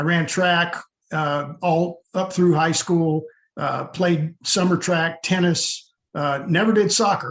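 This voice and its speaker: Using a high pitch and fairly even intonation, a man speaks at a very slow pace. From US South. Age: 60s. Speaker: army veteran and youth football coach. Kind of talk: interview.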